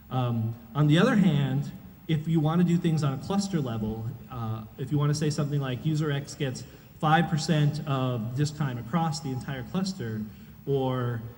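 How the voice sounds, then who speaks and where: A man talks at a fairly high pitch with audible room echo. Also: ordinary pitch variation, moderate pace. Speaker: conference speaker, software engineer. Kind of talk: conference talk.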